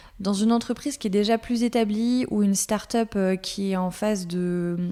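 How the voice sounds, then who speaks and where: Her tone dark and mellow, a woman of medium pitch speaks at a fairly slow pace with fairly even intonation. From France, Alsace (Colmar). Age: 30s. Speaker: content manager. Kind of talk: interview. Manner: many hesitations (euh).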